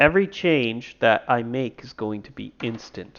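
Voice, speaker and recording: His intonation is lively. The man has an unremarkable speaking voice at a medium pitch. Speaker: indie game developer and streamer. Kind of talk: tutorial. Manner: casual, thinking aloud.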